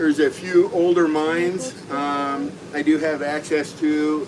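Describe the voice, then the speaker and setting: Noticeable background noise sits behind a man speaking at a fairly high pitch with ordinary pitch variation. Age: 60s. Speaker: veterans outreach organizer. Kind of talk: casual chat.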